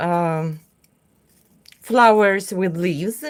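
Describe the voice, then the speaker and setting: With a Russian accent, a woman talks at a very slow pace. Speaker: craft artist. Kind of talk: livestream tutorial. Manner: halting.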